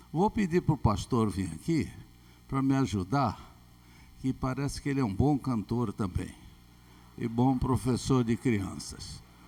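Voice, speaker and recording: Dark, mellow male voice with lively intonation, a fairly slow pace and long, frequent pauses. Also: medium pitch for a man. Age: 70s. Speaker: pastor. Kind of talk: casual chat. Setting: church. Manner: animated.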